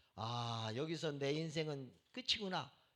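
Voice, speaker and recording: A man speaks at a very slow pace. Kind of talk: preaching, sermon.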